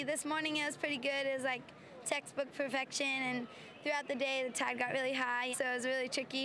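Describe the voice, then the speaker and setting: A woman speaks in a raised, projected voice at a high pitch and a fairly quick pace, with noticeable background noise. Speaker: junior pro surfer. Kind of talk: post-contest interview.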